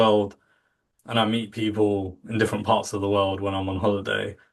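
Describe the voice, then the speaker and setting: The background is quiet as a man with a British accent talks. His pitch is fairly low and his pace moderate. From England. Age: 40s. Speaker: contact centre industry professional. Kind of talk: podcast interview.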